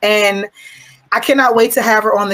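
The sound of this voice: At a moderate pace, a woman speaks in a fairly bright tone with fairly even intonation.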